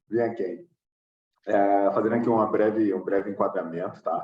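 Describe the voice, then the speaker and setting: This man has an ordinary speaking voice, pitched fairly low, and talks at a moderate pace. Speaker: agile coach. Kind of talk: webinar presentation.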